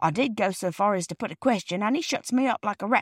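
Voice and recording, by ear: Someone is reading aloud in a natural voice.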